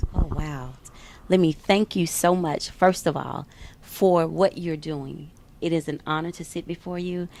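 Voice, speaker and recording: Fairly slow, fairly even speech from a woman with a fairly low pitch and a slight Southern US accent. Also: big swings in loudness. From US South, Memphis, Tennessee. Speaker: fitness trainer. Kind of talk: interview.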